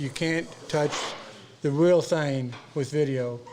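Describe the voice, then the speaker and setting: A man's fairly high, fairly even voice at a very slow pace over noticeable background noise. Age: 70s. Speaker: workshop student. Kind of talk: casual interview. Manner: halting.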